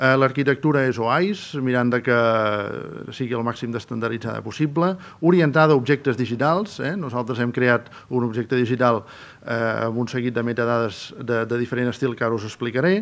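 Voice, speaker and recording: Speaking at a medium pitch, a man shows ordinary pitch variation. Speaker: archive director, conference speaker; conference speaker. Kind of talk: conference presentation. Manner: fast. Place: hall. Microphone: podium.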